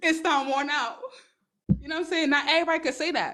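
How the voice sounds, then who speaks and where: A woman with a New York accent speaks in an animated tone. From New York, Brooklyn. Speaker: online business and dating advice streamer. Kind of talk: livestream talk. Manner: fast.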